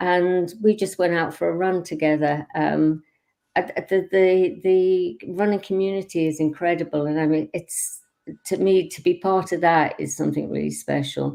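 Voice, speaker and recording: A woman's fairly low, dark and mellow voice in a British accent, with fairly even intonation at a moderate pace, on a very clean recording with a silent background. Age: 70s. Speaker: amateur marathon runner. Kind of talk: interview. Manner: halting, many fillers.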